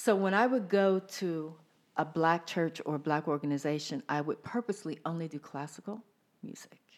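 This woman talks at a moderate pace with a fairly low pitch and ordinary pitch variation. She has an unremarkable speaking voice. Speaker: singer and theater performer. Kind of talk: casual chat.

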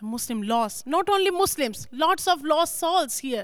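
A woman speaks at a moderate pace. Her pitch makes very wide swings. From Pakistan (Lahore). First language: Urdu or Punjabi. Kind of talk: testimony.

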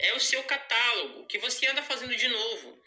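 A man is speaking. Music can be heard behind him. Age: 20s. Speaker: home pet grooming entrepreneur. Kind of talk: pre-recorded audio contribution. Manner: articulate.

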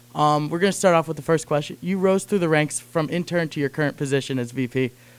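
A man talks at a fairly quick pace in a plain, everyday voice. His pitch is fairly high, with ordinary pitch variation. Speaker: student co-host.

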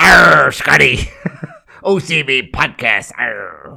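A man uses a put-on character voice. It comes out raspy. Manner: mock pirate growl.

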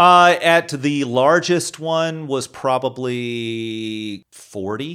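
An American-accented man speaks very slowly at a medium pitch with hardly any pauses. His pitch variation is ordinary. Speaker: podcast co-host in recovery. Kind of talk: casual chat.

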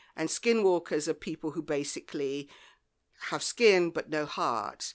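A woman speaks in a southern English accent with a very deep, low pitch and ordinary pitch variation. The recording is very clean, with a silent background. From southwest England, Devon near Lyme Regis. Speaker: author. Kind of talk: casual chat. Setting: homemade studio.

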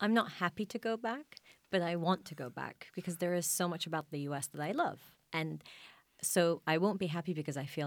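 A woman talks at a fairly quick pace in a very deep, low pitch with ordinary pitch variation. The recording is very clean, with a silent background. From Iraq. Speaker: journalist. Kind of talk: panel discussion.

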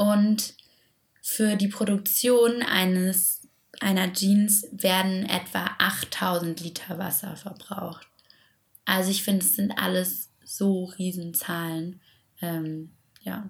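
A woman speaks very slowly at a medium pitch, her voice somewhat breathy. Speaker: podcast co-host. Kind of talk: casual chat about sustainable fashion.

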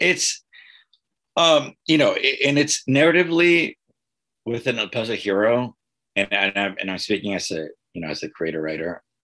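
Bright and sharp in tone, a man speaks at a moderate pace with very wide pitch swings. His pauses are long and frequent. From US South, Texas border (Eagle Pass). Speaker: teacher and comic book creator. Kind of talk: interview. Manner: halting, many repetitions and fillers.

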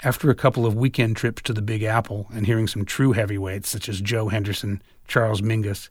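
An animated man with a fairly low voice, a somewhat breathy quality and a fairly quick pace, on a very clean recording with a silent background. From San Francisco, US. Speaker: audiobook author and narrator, jazz guitarist. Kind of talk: literary audiobook reading, first-person memoir narration. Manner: wry, sardonic storyteller, conversational and animated.

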